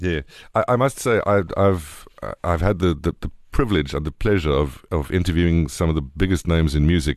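With a South African accent, a man speaks at a fairly quick pace in a very deep, low pitch. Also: ordinary pitch variation. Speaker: radio host. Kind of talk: casual chat.

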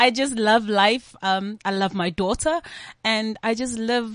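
Over a quiet background, a woman speaks at a fairly slow pace in a bright, sharp tone with a fairly high pitch and ordinary pitch variation. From South Africa, KwaZulu-Natal. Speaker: singer-songwriter. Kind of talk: interview.

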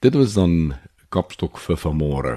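A man's very deep, low voice carries a dark, mellow tone over a quiet background. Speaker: radio host. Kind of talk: radio presenting.

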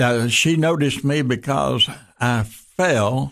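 Speaking at a very slow pace, a man with a Southern US accent uses ordinary pitch variation. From US South, western Tennessee. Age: 80s+. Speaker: pastor. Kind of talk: casual chat. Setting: studio.

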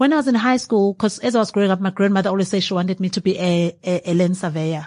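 A woman's dark, mellow voice at a very fast pace, with ordinary pitch variation over a quiet background. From KwaZulu-Natal, South Africa. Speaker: winemaker and entrepreneur. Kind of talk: interview. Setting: 28th-floor venue at a business forum.

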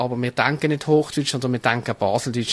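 A man's medium-pitched, monotone voice with flat intonation, dry and close with no echo. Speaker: carnival society member. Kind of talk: interview. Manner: halting.

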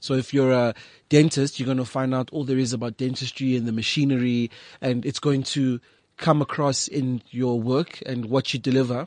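An unremarkable speaking voice from a man, medium pitch, fairly even intonation and a moderate pace, dry and close with no echo over a quiet background. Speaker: photographer and visual artist. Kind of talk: casual interview chat. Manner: articulate, measured.

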